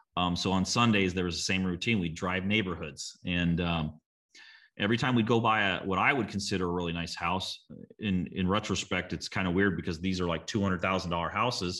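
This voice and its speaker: The voice has a US Midwestern accent and a bright, sharp tone, moving at a fairly quick pace with fairly even intonation. The background is quiet. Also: man, very deep, low pitch for a man. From small-town Illinois, US Midwest. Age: 40s. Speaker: real estate investor. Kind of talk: interview. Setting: video call from lake house. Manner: halting, many fillers and repeats.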